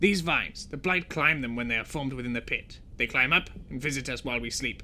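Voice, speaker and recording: A man's put-on character voice at medium pitch and very fast pace, with clear background noise. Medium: read story. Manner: terse, clipped.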